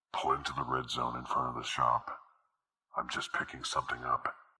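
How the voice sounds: A man's put-on character voice at a fairly quick pace.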